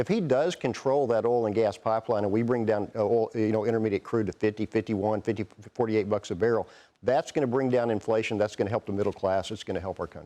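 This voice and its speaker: Speaking with a Southern US accent, a man uses a medium pitch, a dark, mellow tone and fairly even intonation. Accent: Southern drawl. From Texas. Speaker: investment firm CEO, portfolio manager. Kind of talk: TV business news interview.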